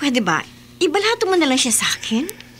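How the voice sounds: A woman's put-on character voice, high in pitch with a fairly bright tone, very wide pitch swings and a fairly quick pace.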